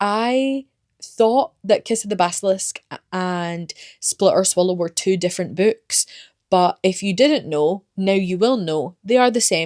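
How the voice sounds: A woman at a medium pitch and fairly slow pace, with ordinary pitch variation and a slightly mellow tone, in a very clean recording with a silent background and a dry, close sound with no echo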